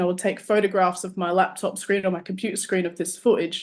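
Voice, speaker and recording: A woman with an Australian accent speaks at a medium pitch against a quiet background. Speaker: artist and musician. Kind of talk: casual interview chat.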